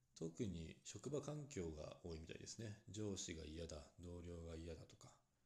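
The voice is dark and mellow, somewhat breathy and calm, moving at a moderate pace. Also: man. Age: 30s. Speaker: solo podcaster. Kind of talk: solo talk monologue.

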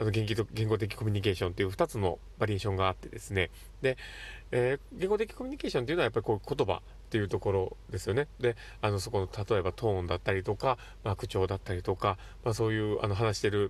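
The voice carries vocal fry at a very fast pace. The recording is very clean, with a silent background. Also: man, fairly low pitch for a man, ordinary pitch variation. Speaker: psychiatric visiting nurse, podcast host. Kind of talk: solo monologue podcast. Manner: animated.

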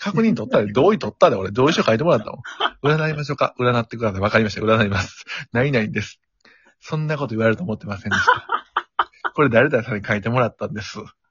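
Delivered at a very fast pace in a Kansai accent, the speech has lively intonation and big swings in loudness. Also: man, medium pitch for a man. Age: 30s. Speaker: podcast guest. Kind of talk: casual chat.

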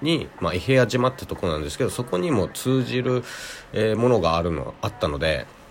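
In a calm tone, a man speaks with very wide pitch swings over noticeable background noise. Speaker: podcast host. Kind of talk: solo monologue.

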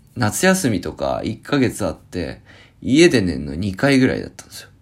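Very wide pitch swings and vocal fry mark this moderately paced voice. The recording is very clean, with a silent background. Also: man, big swings in loudness. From Japan, Akita. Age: 30s. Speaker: podcast host. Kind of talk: casual solo talk.

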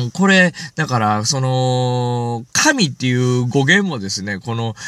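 A man with very wide pitch swings, in a dry, close sound with no echo. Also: very clean recording, silent background. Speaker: solo podcaster, shrine-visiting specialist. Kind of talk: solo talk show monologue. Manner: fast.

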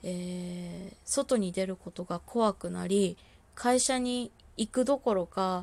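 Calm in tone, a woman talks at a very slow pace in a medium pitch with ordinary variation, in a very clean recording with a silent background. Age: 20s. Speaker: solo podcaster living with bipolar disorder. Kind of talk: solo monologue, self-introduction. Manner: halting, many fillers and pauses.

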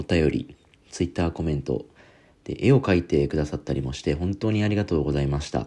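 A man's very deep, low, dark and mellow voice with vocal fry and lively intonation at a very fast pace, in a very clean recording with a silent background. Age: 30s. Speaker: podcast host. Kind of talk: solo casual talk.

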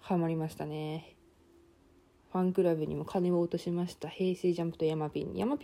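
A woman speaks at a fairly quick pace in a fairly low pitch, her dark, mellow tone held in a monotone, flat intonation. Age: 20s. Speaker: university student podcaster. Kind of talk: casual solo monologue.

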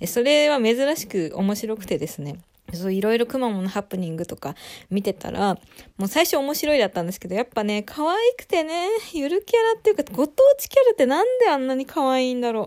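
In a very clean recording with a silent background, a woman's voice swings very widely in pitch and heavily in loudness. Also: fairly quick pace. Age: 20s. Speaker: solo podcaster. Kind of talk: casual solo talk. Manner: stumbling over words.

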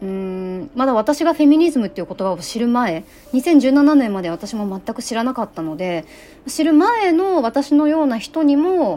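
A woman's high-pitched voice at a moderate pace, with very wide pitch swings, big swings in loudness and noticeable background noise. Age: 30s. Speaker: activist and podcaster. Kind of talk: casual monologue. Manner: rambling, casual.

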